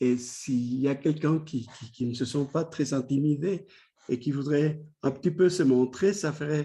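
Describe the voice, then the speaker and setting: With a Spanish accent, a man talks at a fairly high pitch in a dark, mellow, somewhat breathy tone, with ordinary pitch variation against a quiet background. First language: Spanish (speaking French). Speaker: academic, clinical psychoanalyst. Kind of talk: lecture. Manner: halting, many repetitions and hesitations.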